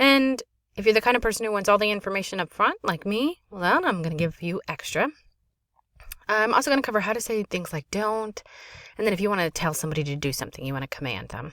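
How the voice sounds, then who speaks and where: A woman at medium pitch talks at a very fast pace with very wide pitch swings and a bright, sharp tone, the sound dry and close with no echo. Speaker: French teacher. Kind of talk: classroom lesson video. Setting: home closet, children audible in background.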